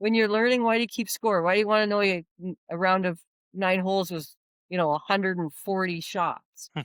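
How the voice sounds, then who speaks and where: A woman with a Canadian accent talks at a fairly quick pace in a plain, everyday voice, medium pitch and fairly even intonation. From Canada, Ontario. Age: 50s. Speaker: long drive golf champion. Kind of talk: podcast interview.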